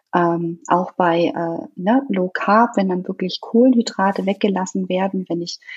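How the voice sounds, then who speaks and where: A woman speaks with lively intonation and a somewhat breathy sound. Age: 30s. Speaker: nutrition consultant and fitness coach. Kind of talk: podcast interview.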